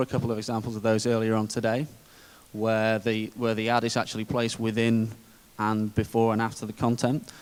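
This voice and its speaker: With a British accent, a man of medium pitch speaks at a fairly quick pace. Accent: British, described as dull. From UK. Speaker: conference speaker, digital media executive. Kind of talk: conference presentation.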